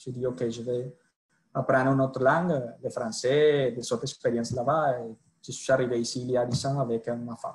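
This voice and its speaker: Delivery moves at a moderate pace with fairly even intonation. The voice is somewhat breathy. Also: man, medium pitch for a man. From Colombia. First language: Spanish (speaking French). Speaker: sales director. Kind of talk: podcast interview. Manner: halting.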